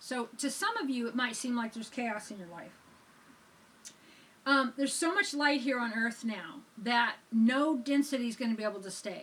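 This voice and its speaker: This woman's high-pitched voice has a calm tone and a moderate pace, with big swings in loudness. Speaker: spiritual teacher, church reverend. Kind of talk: spiritual sermon ramble, casual talk to camera. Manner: calm, conversational.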